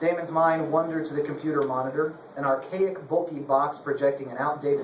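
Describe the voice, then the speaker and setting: A man's fairly high voice at a fairly quick pace, over noticeable background noise. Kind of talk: live dramatic reading of a novel chapter, narration with character voices.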